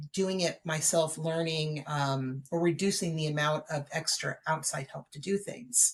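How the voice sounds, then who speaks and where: Somewhat breathy, a woman with an American accent speaks with fairly even intonation. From Southern California. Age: 40s. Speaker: author. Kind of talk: podcast interview. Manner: halting, many fillers.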